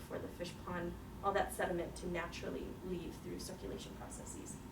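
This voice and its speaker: Over noticeable background noise and audible room echo, a woman talks at a fairly quick pace. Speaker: seminar speaker, researcher. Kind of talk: Q&A after a scientific seminar. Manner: fast.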